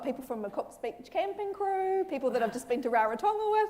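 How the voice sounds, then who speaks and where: A woman with a New Zealand accent at a very fast pace, her pitch swinging very widely, over noticeable background noise. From New Zealand, Auckland. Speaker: clinical psychologist. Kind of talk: public talk. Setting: school hall with audience.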